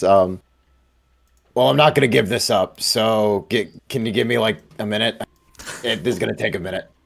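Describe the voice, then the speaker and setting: A raspy, put-on character voice moves at a moderate pace with lively intonation. Long, frequent pauses break up the delivery. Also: man, fairly low pitch for a man. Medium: actual play. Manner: cocky, casual.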